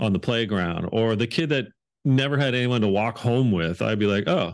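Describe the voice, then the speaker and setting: The background is quiet as a man speaks with a Canadian accent. His pitch is fairly low, with ordinary variation. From Canada, Hamilton, Ontario. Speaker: leadership author and speaker. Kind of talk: interview conversation. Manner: animated.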